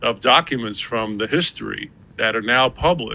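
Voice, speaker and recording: Speaking at a moderate pace, this man has a medium pitch, a bright, sharp tone and ordinary pitch variation. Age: 60s. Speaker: coin dealer. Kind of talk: interview. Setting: podcast.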